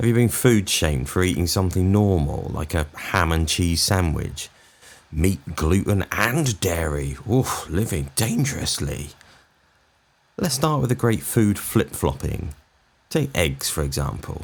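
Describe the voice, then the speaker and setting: Very deep and low, a man's voice with a British accent moves through very wide pitch swings. He talks at a fairly slow pace. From England. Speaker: comedian. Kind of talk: comedic rant to camera. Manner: sarcastic, exasperated.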